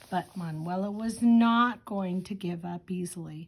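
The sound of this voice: An unforced reading voice moves through ordinary shifts in pitch.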